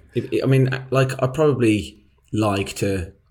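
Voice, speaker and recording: A man's somewhat breathy voice. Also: very clean recording, silent background. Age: young. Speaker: podcast co-host. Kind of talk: casual chat.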